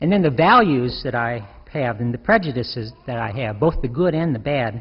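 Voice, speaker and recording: A man with a somewhat breathy, medium-pitched voice talks at a moderate pace with lively intonation, and the room echo is audible. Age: 60s. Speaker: deacon. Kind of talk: sermon.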